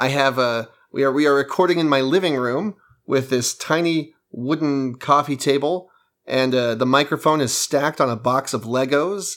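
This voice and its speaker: In a very clean recording with a silent background, a man has an unremarkable speaking voice, fairly high in pitch with ordinary pitch variation. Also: moderate pace. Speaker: podcast co-host. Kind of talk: casual chat. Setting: studio.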